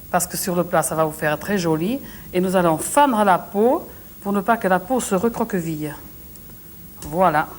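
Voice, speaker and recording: Long, frequent pauses from a woman at medium pitch, with ordinary pitch variation. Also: moderate pace. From southwest France. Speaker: TV cook. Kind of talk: cooking show demonstration. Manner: frank, good-humoured.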